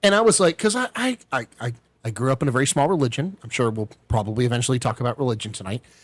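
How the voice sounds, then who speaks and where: A man talks very fast and somewhat breathily in a dry, close recording with no echo. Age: 30s. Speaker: military veteran podcast host. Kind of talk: casual chat.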